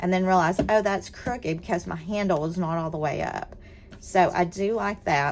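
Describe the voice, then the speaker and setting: A woman with a Southern US accent talks at a fairly quick pace, her medium pitch showing ordinary pitch variation. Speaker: scrapbooking product presenter. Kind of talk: product demonstration. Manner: animated.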